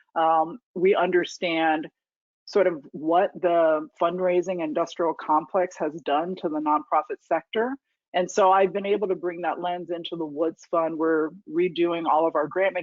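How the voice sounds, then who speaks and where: An unremarkable speaking voice with an American accent moves at a moderate pace with fairly even intonation. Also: woman. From US, New York and military bases, high school in Indiana. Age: 40s. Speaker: foundation leader. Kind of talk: lecture Q&A talk. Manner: conversational with fillers.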